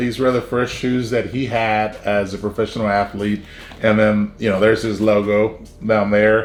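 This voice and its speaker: A man with a South Texas accent, fairly low in pitch, fairly slow and flat in a monotone. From South Texas, Brownsville. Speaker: YouTuber. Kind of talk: personal story vlog. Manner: casual, many fillers.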